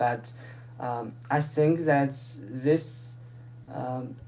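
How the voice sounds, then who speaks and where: The speaker has a non-native accent. Noticeable background noise runs under the voice. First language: not English. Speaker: proposal presenter. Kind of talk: community call presentation. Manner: halting.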